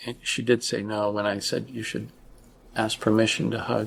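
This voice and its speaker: A man talks at a fairly slow pace. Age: 60s. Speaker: father. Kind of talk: podcast interview answer. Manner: hesitant, reflective.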